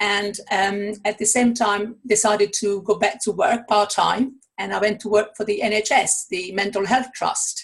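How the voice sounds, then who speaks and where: With an Italian accent, a woman talks at a fairly slow pace with hardly any pauses. Her voice is fairly high, and her intonation is fairly even. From Italy. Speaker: author and coach. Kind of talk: interview.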